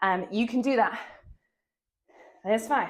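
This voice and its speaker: Energetic in tone, a woman with a British accent talks at a fairly quick pace with lively intonation. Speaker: fitness instructor. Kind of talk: workout instruction.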